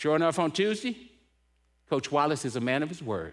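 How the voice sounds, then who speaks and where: This man's fairly high voice carries vocal fry and an animated tone, swinging very widely in pitch at a moderate pace. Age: 70s. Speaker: motivational speaker at church men's event. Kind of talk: inspirational talk with personal story. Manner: animated storytelling; repeats words when excited.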